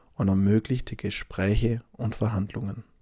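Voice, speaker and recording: In a very clean, dry and close recording with a silent background and no echo, a man talks fairly slowly in a relaxed tone. His fairly low voice is dark and mellow, with fairly even intonation. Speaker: language-learning podcast host. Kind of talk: scripted narration. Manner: relaxed pace.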